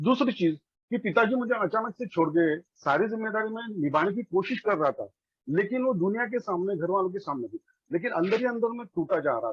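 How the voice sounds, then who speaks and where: A man with a Marathi accent, high pitch, lively intonation and a moderate pace. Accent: Marathi-accented Hindi. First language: Marathi (speaking Hindi). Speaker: recovering alcoholic, former lecturer. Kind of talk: testimony. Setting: online meeting. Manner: halting, with fillers.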